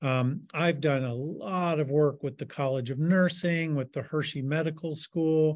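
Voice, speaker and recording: Over a quiet background, a man uses a plain, everyday voice, speaking slowly-ish at a fairly high pitch with fairly even intonation. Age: 60s. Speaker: artist and arts health educator. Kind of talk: interview.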